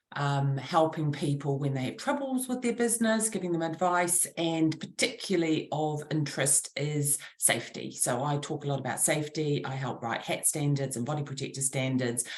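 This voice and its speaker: A woman speaks in a very deep, low voice with lively intonation. Her pace is moderate, with hardly any pauses. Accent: New Zealand. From New Zealand. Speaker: trade association director. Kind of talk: casual chat.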